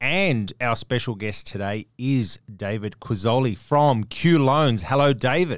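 Speaking in an Australian accent, a man talks at medium pitch and a fairly slow pace with hardly any pauses. The recording is very clean, with a silent background. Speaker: podcast host. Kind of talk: podcast interview.

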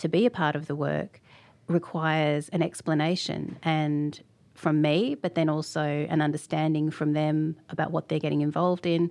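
A woman with an Australian accent speaks in a very deep, low pitch. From Australia (Sydney), Fijian heritage. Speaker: artist and art lecturer. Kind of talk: interview conversation.

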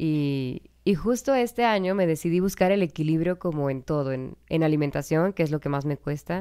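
This woman has a very deep, low pitch and a dark, mellow tone. Her intonation is lively, her pace moderate, and she hardly pauses at all. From Mexico. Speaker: podcast co-host, mother. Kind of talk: casual chat.

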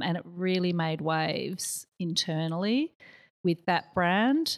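In a very clean recording with a silent background, the speaker talks at a very slow pace with an Australian accent, the sound dry and close with no echo. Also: woman. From Australia, partly raised in Malaysia and US. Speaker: marketing agency director. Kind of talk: casual chat.

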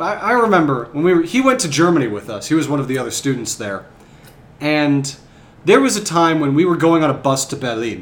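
This man talks at a fairly quick pace with an American accent. His fairly high voice swings very widely in pitch. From US Midwest. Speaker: podcast co-host. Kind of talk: casual chat.

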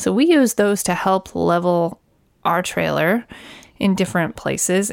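A woman with an ordinary speaking voice talks at a moderate pace and a fairly low pitch. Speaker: RV podcast co-host. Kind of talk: casual chat.

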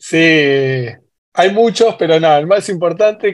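With a normal speaking voice and lively intonation, a man talks at a fairly slow pace and a fairly high pitch. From Argentina, San Martín (Buenos Aires). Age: 40s. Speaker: football fan. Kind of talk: casual chat.

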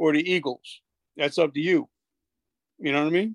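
A man with an American accent talks at a fairly high pitch, the sound dry and close with no echo. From New Jersey, US. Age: 50s. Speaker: podcaster, author and motivational speaker, army veteran. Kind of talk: pep talk: fired-up motivational speech about being relentless and never quitting. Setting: phone call. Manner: intense, energetic, emphatic, repeating 'I'm still going to push'.

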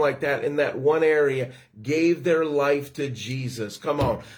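Fairly slow delivery in an animated tone. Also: man. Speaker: ministry livestream host. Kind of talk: preaching and worship livestream. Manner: animated, exuberant.

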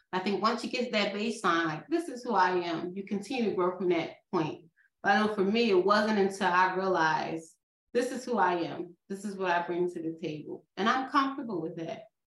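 This woman talks at a fairly quick pace with a Philadelphia accent. Her pitch is medium, with ordinary variation. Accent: Philadelphia American. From Philadelphia area, US. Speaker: nurse practitioner and nursing professor. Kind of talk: interview.

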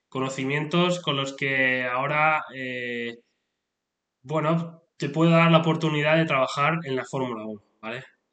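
Bright, sharp tone marks this man's fairly high voice. He talks at a fairly slow pace with fairly even intonation. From Spain. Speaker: motorsport podcaster and engineer. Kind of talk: solo podcast monologue. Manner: halting, many fillers and repetitions.

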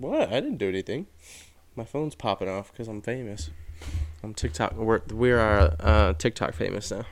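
At a moderate pace, a normal speaking voice moves with lively intonation and big swings in loudness. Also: man, fairly low pitch for a man. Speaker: podcast host. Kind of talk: casual chat.

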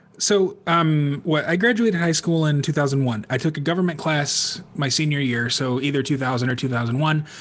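Using an unremarkable speaking voice, a man talks at a fairly high pitch and a fairly quick pace, with hardly any pauses, ordinary pitch variation and very even loudness. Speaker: podcast host. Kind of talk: casual chat. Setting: video call.

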